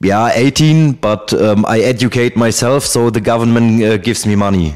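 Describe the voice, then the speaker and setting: With a German accent, a man speaks at a medium pitch and a moderate pace with very even loudness. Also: ordinary pitch variation. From Germany. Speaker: ex-soldier. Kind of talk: interview answer. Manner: hesitant.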